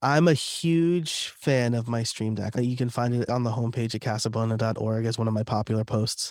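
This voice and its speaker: Here a man speaks with an American accent at medium pitch. His pace is moderate, with ordinary pitch variation. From New York, US. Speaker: podcaster and content creator. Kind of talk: interview conversation.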